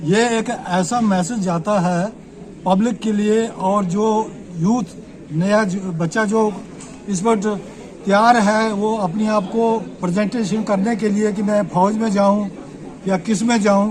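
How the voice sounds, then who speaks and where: A man with a high pitch and fairly even intonation speaks with long, frequent pauses, amid noticeable background noise and audible room echo. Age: 70s. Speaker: army veteran. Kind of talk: press interview.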